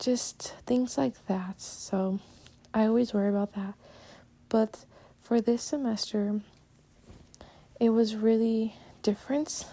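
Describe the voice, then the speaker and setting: Speaking at a very slow pace with long, frequent pauses, a woman with a Spanish accent has a fairly high pitch and a dark, mellow tone. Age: young. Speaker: podcaster, college student. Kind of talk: casual monologue. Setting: recording at home while doing chores. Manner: halting. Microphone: poor mic, sounds bad.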